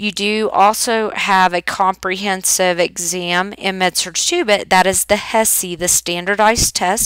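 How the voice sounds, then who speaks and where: A woman with an Oklahoma accent, medium pitch and monotone, flat intonation, with hardly any pauses. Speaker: nursing instructor. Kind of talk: recorded course welcome lecture. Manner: casual, with filler ums.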